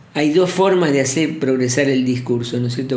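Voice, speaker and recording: A man with an Argentine accent speaks at a fairly high pitch. Noticeable background noise and audible room echo surround him. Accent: Rioplatense Argentine Spanish. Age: 70s. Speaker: poet and professor. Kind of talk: interview. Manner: halting.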